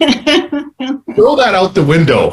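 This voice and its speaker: A man speaks with a Canadian accent and vocal fry. His pitch swings very widely. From Canada. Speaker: former hockey goalie, sports analyst. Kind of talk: interview answer. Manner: fast-talking, engaging.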